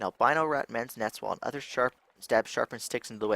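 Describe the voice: It is plain reading aloud.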